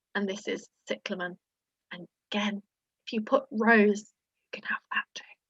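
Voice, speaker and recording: A woman whispering at a moderate pace, long, frequent pauses and big swings in loudness, in a dry, close sound with no echo. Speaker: quiz host. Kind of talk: online quiz presentation. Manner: whispering at one point.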